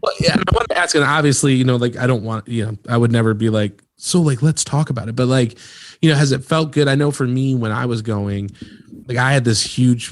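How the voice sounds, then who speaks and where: Using an ordinary speaking voice, a man talks fairly quickly at a medium pitch with ordinary pitch variation. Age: 30s. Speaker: podcast host. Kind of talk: casual chat.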